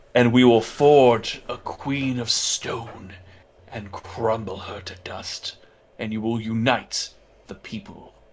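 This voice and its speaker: A man uses a put-on character voice at a medium pitch and a fairly slow pace. His intonation stays fairly even while his loudness swings widely. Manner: charming, dramatic character voice.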